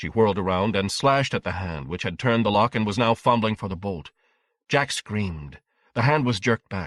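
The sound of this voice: With a quiet background behind it, the reading voice sounds unforced.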